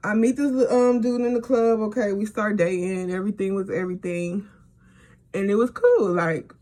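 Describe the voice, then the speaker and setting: Her voice sits fairly high for a woman, with a dark, mellow tone, ordinary pitch variation, and a moderate pace. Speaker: beauty and storytime vlogger. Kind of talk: casual storytime monologue. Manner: animated.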